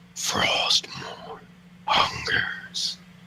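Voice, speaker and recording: The voice is a raspy, put-on character voice. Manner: menacing, strained.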